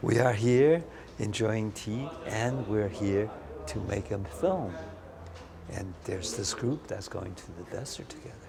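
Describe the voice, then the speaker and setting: Fairly low-pitched male voice with ordinary pitch variation, audible room echo and noticeable background noise. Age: 60s. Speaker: Zen meditation teacher. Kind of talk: interview. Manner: halting.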